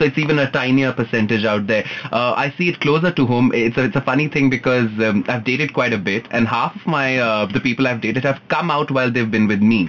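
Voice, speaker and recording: Over noticeable background noise, a man speaks very fast with very even loudness and ordinary pitch variation. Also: medium pitch for a man, hardly any pauses. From India, Punjabi family. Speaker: guest on LGBTQ talk show. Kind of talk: casual chat.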